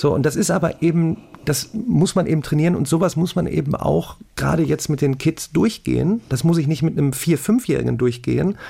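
Fairly quick pace from a man with a fairly high pitch, vocal fry, ordinary pitch variation, very even loudness and a dark, mellow tone. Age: 40s. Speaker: math YouTuber and online tutor. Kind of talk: casual chat.

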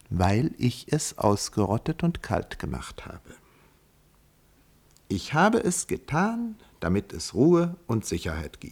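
Using a put-on character voice, a man talks at a fairly low pitch and a slow pace. His tone is slightly mellow, and his pitch swings widely.

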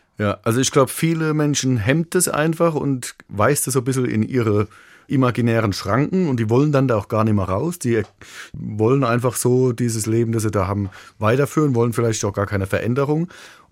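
A man with a Kurpfalz accent, medium-pitched, at a fairly quick pace, with ordinary pitch variation and very even loudness. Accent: Kurpfälzisch-tinged German. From Ludwigshafen, Kurpfalz (Germany). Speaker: rock musician. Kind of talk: radio interview. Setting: radio studio.

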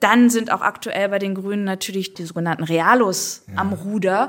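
An unremarkable speaking voice, a woman at medium pitch speaks at a moderate pace. The recording is very clean with a silent background. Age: 40s. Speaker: writer. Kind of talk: interview conversation.

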